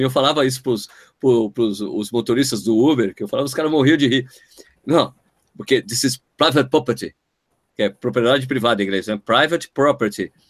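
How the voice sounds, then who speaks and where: With an animated tone, a man speaks at a fairly quick pace and medium pitch with ordinary pitch variation, in a dry, close sound with no echo. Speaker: running podcast host. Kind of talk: casual chat.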